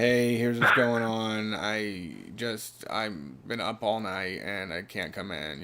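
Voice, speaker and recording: A man puts on a quiet, creaky character voice. It is fairly low in pitch and fairly slow. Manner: low energy, quiet.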